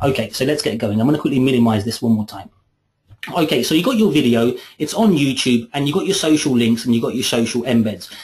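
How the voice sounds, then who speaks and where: Very fast, somewhat breathy speech from a man at medium pitch, his pitch varying in an ordinary way. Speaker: software trainer. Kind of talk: webinar tutorial. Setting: online webinar.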